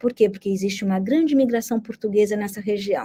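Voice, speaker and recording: This woman's voice has a dark, mellow tone. It is also somewhat breathy. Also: dry, close sound with no echo. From Brazil. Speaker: history professor. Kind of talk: interview. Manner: conversational.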